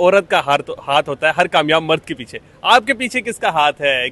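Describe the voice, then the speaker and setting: With lively intonation and a bright, sharp tone, a man is heard in a dry, close sound with no echo. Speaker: interviewer, reporter. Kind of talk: news feature narration and interview questions.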